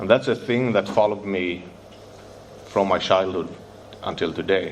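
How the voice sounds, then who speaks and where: A man with a Swedish accent speaks at a moderate pace in a fairly low voice. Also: ordinary pitch variation. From Sweden, Stockholm. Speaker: recovering addict sharing at a convention. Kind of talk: recovery testimony. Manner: halting.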